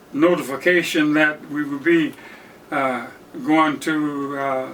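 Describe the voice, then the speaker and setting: Amid noticeable background noise, a man with an American accent speaks in a monotone, flat intonation. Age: 90s. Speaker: World War II veteran. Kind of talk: interview answer.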